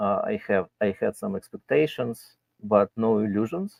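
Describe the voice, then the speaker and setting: A man with a Russian accent at a fairly slow pace. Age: 60s. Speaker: guest commentator. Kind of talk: casual chat.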